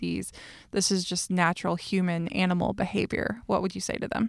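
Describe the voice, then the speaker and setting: A woman speaks at a moderate pace and medium pitch, recorded very cleanly with a silent background and a dry, close sound without echo. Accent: American. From US South. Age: 30s. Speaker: podcast host. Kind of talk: casual chat.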